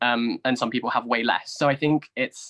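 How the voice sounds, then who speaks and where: Speaking with a southern English accent, a man uses a bright, sharp tone at a medium pitch, fairly even intonation and a moderate pace, in a dry, close sound with no echo. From southern England. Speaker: YouTuber and university graduate. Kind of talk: interview discussion. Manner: hesitant, frequent fillers.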